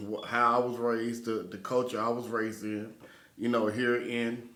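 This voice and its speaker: A man with an American accent at medium pitch, monotone and flat in intonation, at a moderate pace, with audible room echo and noticeable background noise. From Texas, Dallas-Fort Worth. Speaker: podcast host. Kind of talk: casual chat.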